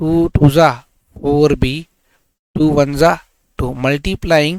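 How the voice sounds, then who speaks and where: A man with an Indian accent, fairly high pitch, fairly even intonation, and a dry, close sound with no echo. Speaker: maths teacher. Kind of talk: tutorial.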